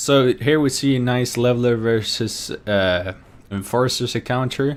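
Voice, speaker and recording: In a Norwegian accent, a man speaks at a fairly slow pace with a medium pitch and very even loudness on a very clean recording with a silent background. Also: ordinary pitch variation. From Norway. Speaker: esports commentator. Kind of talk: live commentary. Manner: energetic.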